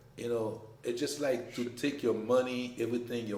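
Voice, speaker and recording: A man speaks very fast in a French accent, at a medium pitch with a dark, mellow tone. Audible room echo is present. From Haiti. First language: French or Haitian Creole. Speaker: business owner. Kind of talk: casual chat.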